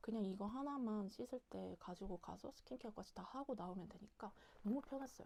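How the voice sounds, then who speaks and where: Quiet and at a moderate pace, a woman speaks at a medium pitch with a dark, mellow tone. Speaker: solo travel vlogger. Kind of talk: casual talk to camera. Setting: home. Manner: quiet, chatty.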